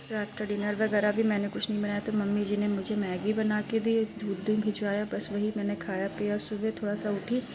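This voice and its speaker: Against noticeable background noise, a woman speaks at a moderate pace and medium pitch with monotone, flat intonation and hardly any pauses. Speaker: vlogger. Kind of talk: casual vlog talk. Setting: at home.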